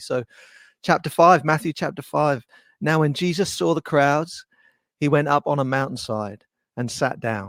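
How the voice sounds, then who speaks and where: With an English accent, a man speaks at a fairly high pitch and a moderate pace, the sound dry and close with no echo. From England. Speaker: worship musician and webinar host. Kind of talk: webinar chat. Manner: hesitant, many fillers.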